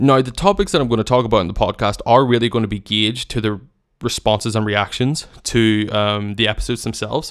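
Very fast and fairly even in intonation, a man speaks at medium pitch with a Northern Irish accent. The recording is very clean, with a silent background. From Northern Ireland. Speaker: podcast host and wedding filmmaker. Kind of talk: solo casual monologue. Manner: hesitant, many fillers.

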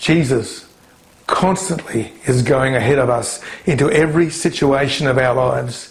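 With an Australian accent, a man at medium pitch speaks in a space with audible room echo. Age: 60s. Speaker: pastor. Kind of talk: sermon.

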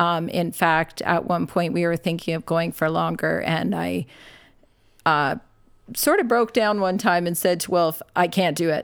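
In a Canadian accent, a woman with a fairly low pitch and vocal fry speaks with ordinary pitch variation in a very clean recording with a silent background. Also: fairly slow pace. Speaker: nurse and ministry worker. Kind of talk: casual interview.

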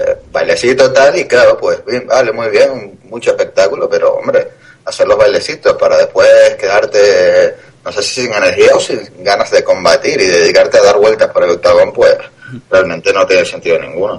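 At a moderate pace, a man speaks in an extremely high pitch with monotone, flat intonation. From Canary Islands (Tenerife). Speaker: MMA podcast co-host. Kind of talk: casual chat.

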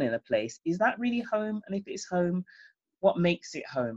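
With a British accent, a woman speaks at medium pitch in a dry, close sound with no echo. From England, Jamaican parents. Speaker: playwright and former singer-songwriter. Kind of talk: interview.

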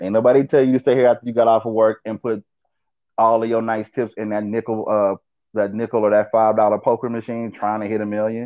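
The pace is very fast. A man is talking at a medium pitch. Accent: American. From US West, Las Vegas, Nevada. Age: 40s. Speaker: baker and former bartender. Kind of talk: casual chat. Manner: animated.

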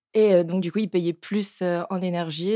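The dark, mellow voice has fairly even intonation, recorded very cleanly with a silent background and a dry, close sound free of echo. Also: woman. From southern France. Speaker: restaurant manager. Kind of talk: casual chat.

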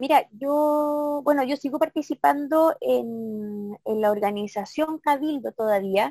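The voice has a dark, mellow tone and ordinary pitch variation. It moves at a very slow pace, with a dry, close sound and no echo. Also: woman, high pitch for a woman. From Chile, Santiago (Maipú), then southern Chile from age 15. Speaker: former council candidate, local activist. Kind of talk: interview. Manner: halting, many repetitions and fillers.

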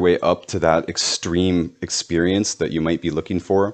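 Speaking at a fairly quick pace, a man with a very deep, low pitch holds fairly even intonation over a quiet background. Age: 30s. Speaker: podcast host. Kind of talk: solo podcast monologue.

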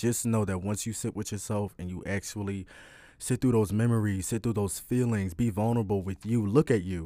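A man with an American accent, fairly low in pitch, with a dark, mellow tone. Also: fairly quick pace. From Philadelphia, US. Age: 20s. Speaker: podcast host, spiritual advisor. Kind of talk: casual solo monologue. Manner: animated.

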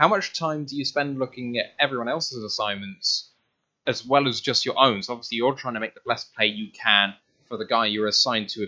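Speaking with a British accent, a man talks at a fairly quick pace and medium pitch, with ordinary pitch variation. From UK. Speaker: podcast host. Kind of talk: interview. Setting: video call.

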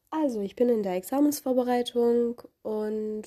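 Dark, mellow female tones set at a fairly high pitch. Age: 20s. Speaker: law student, podcaster. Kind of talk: solo podcast introduction.

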